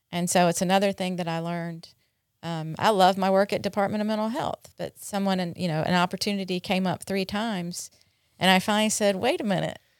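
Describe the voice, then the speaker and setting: On a very clean recording with a silent background and a dry, close sound free of echo, a woman with an American accent uses an ordinary speaking voice at a medium pitch, fairly even intonation and a fairly quick pace. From North Carolina. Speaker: addiction treatment center director. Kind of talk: interview, personal recovery story.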